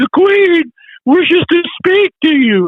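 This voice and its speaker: Putting on a character voice, a man pitches it extremely high. His delivery is fairly slow. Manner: formal, announcing.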